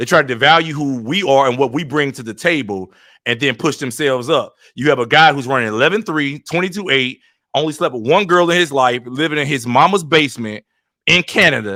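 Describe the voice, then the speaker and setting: A man's bright, sharp, animated voice, fairly high in pitch, with lively intonation and a fairly quick pace, on a very clean recording with a silent background. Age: 40s. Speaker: YouTuber, track and field commentator. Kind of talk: heated debate. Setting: live stream.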